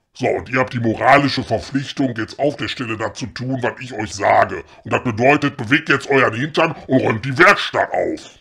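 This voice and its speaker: Gruff and rumbling, a man's medium-pitched voice moves at a moderate pace with hardly any pauses and ordinary pitch variation. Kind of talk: comic radio play. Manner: gruff, grumbling, coarse.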